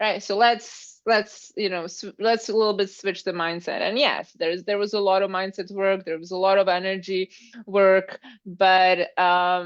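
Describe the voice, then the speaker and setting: A woman speaks at a moderate pace and a medium pitch, with a non-native accent. Her intonation is monotone and flat over a quiet background. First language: not English. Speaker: Pilates instructor and fitness business mentor. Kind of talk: live interview chat. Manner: halting.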